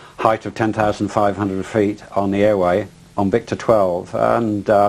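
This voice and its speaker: With an English accent, a man speaks at a moderate pace. His pitch is fairly low. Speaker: pilot, eyewitness. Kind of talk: interview testimony. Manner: halting, many fillers and repetitions.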